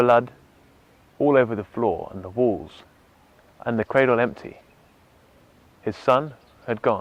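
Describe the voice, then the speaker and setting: Speaking at a fairly slow pace with long, frequent pauses, a man with an English accent talks at a medium pitch. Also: ordinary pitch variation. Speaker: photographer. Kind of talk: storytelling; tutorial.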